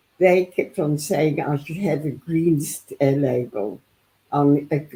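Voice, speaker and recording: Speaking at a very slow pace, a woman uses a very deep, low, somewhat breathy voice with a dark, mellow tone and ordinary pitch variation. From South Africa. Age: 80s+. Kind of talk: interview answer.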